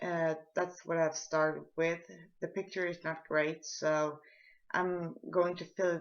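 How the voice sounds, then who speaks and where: With a Swedish accent, a woman speaks in a fairly low pitch and fairly even intonation. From Sweden. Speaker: art tutorial maker. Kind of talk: tutorial. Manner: halting, with repetitions and fillers.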